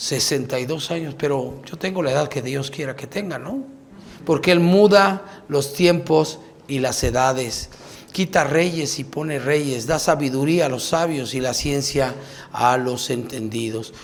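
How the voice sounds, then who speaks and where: Over noticeable background noise and audible room echo, a man speaks at a fairly slow pace, his pitch fairly high with ordinary variation. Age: 60s. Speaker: pastor. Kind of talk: sermon.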